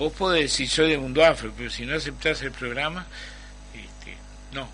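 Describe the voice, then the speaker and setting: Noticeable background noise is present throughout. Over it, a man talks at a moderate pace. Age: 70s. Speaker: Afro-Uruguayan activist, former ambassador. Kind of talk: radio panel discussion.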